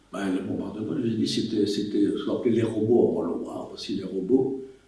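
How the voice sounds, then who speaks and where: A man's voice carries an audible room echo. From Belgium, Wallonia (Liège province). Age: 80s+. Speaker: war witness. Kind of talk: testimony. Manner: halting.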